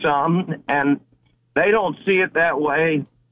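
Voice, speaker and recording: A man talks in a normal speaking voice, fairly high in pitch, with ordinary variation. His pace is fairly slow. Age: 60s. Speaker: caller. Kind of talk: call-in commentary. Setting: phone call.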